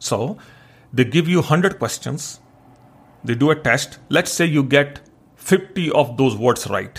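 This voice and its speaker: Speaking very slowly with long, frequent pauses, a man with an Indian accent has a fairly high, somewhat breathy voice. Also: ordinary pitch variation. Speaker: podcast host. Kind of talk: solo monologue podcast episode.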